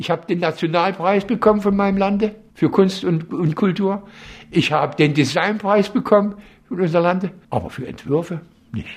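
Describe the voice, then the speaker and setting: The man's high voice moves through an ordinary pitch range as he talks at a moderate pace. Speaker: furniture designer. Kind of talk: interview.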